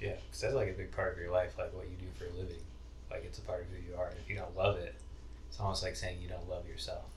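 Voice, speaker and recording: Someone talks at a very fast pace, with audible room echo in the recording. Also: man. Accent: American. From Idaho. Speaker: psychology student. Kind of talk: casual chat.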